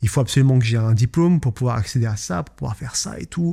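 In a very clean recording with a silent background, a man with a medium pitch and ordinary pitch variation speaks in a somewhat breathy, dark, mellow tone. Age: 20s. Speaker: podcast host and business owner. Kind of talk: solo podcast monologue. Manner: casual, hesitant with fillers.

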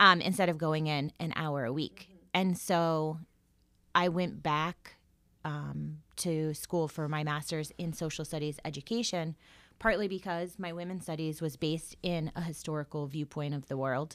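A woman's very deep, low voice in an American accent, with fairly even intonation at a moderate pace, in a very clean recording with a silent background. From Florida. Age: 40s. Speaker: high school English teacher. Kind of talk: interview.

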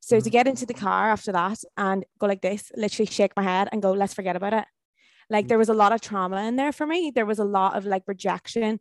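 Very fast and medium in pitch, a woman with a Northern Irish accent talks with ordinary pitch variation, dry and close with no echo over a quiet background. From Ireland, County Tyrone. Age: 20s. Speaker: motivational speaker. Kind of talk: casual chat.

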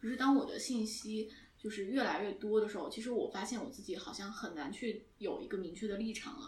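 Over noticeable background noise, a woman with a fairly high pitch talks at a fairly quick pace, with ordinary pitch variation and big swings in loudness. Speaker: podcast co-host, media student. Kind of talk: casual chat.

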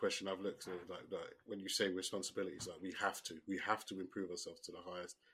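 Talking at a very fast pace, a man speaks. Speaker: podcast host and coach. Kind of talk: casual chat. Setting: remote recording. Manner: loud, animated.

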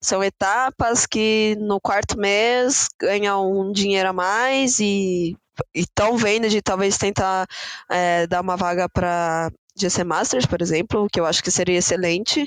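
A woman with an unremarkable speaking voice talks at a fairly slow pace and medium pitch, her pitch variation ordinary. Her loudness stays very even, and the sound is dry and close with no echo. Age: 20s. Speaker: esports player. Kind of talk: podcast interview.

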